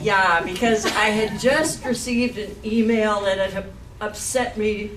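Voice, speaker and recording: Pitched fairly high, a woman speaks at a fairly slow pace. The room echo is audible, along with noticeable background noise. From Canada (Manitoba). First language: Swiss German. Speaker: professor. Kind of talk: lecture.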